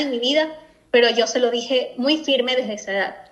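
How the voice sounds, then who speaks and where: A woman's high-pitched, bright, sharp voice at a fairly quick pace. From Ecuador. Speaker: guest sharing personal story. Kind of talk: testimony. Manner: halting.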